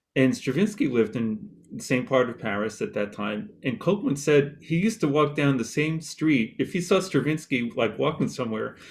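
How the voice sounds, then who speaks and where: At a moderate pace, a man talks in a plain, everyday voice that sits fairly high in pitch. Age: 60s. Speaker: composer. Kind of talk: panel discussion.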